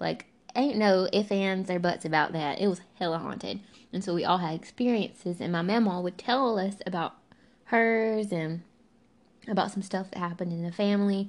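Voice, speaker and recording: A woman with a Southern US accent talks at a moderate pace and medium pitch. Her pitch varies in an ordinary way over a quiet background. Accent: Southern American. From US South. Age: 20s. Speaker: podcast host. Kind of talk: casual monologue. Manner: animated.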